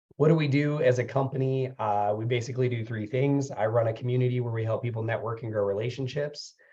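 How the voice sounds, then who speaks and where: A man's dark, mellow, somewhat breathy voice at medium pitch, very fast with hardly any pauses and fairly even intonation, over a quiet background. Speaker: business consultant and webinar presenter. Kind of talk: webinar presentation.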